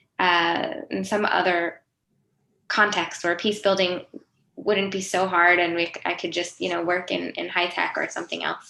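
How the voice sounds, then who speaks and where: A woman's fairly low, bright, sharp voice with an American accent, vocal fry, fairly even intonation, and a moderate pace. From US, Pennsylvania. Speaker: nonprofit executive, peacebuilder. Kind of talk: panel talk.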